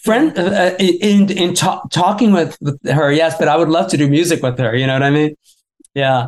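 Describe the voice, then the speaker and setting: Speaking in an unremarkable speaking voice, a man with a fairly high pitch keeps his loudness very even, with ordinary pitch variation. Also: moderate pace. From Florida. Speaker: musician and author. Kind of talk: interview.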